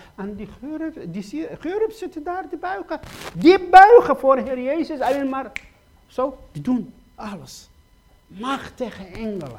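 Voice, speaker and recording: A man with an extremely high pitch talks at a very slow pace, with very wide pitch swings, big swings in loudness, and long, frequent pauses. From Iraq. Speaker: preacher giving his testimony. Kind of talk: sermon. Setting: church gathering. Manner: halting.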